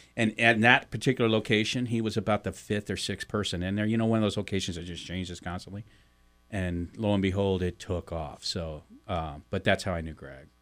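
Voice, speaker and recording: Delivered at a fairly quick pace in an American accent, an ordinary speaking voice with ordinary pitch variation comes through on a very clean recording with a silent background. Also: man, fairly low pitch for a man. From US Midwest, St. Louis, Missouri. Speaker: podcast co-host, publisher. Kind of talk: casual chat. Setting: radio studio.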